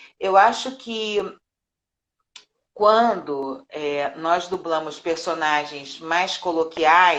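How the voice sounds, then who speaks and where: A woman in a Carioca accent, with ordinary pitch variation. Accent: carioca Brazilian Portuguese. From Rio de Janeiro, Brazil. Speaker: voice actress and dubbing director. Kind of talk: interview. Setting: live stream.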